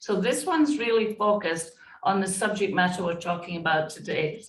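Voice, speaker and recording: Speaking at a fairly quick pace, a woman sounds somewhat breathy, her loudness swinging widely. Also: medium pitch for a woman, lively intonation. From Scotland. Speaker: diversity and inclusion consultant. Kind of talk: interview.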